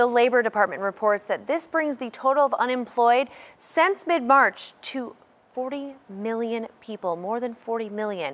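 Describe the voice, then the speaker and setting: Against a quiet background, a woman with an American accent talks at a moderate pace and a high pitch, her intonation lively. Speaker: news anchor. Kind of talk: television news anchor delivery.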